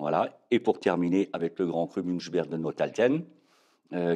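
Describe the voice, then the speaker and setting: Very deep and low in pitch, a man speaks at a fairly slow pace in a dark, mellow tone with ordinary pitch variation. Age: 60s. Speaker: winegrower. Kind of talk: interview. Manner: hesitant, many fillers.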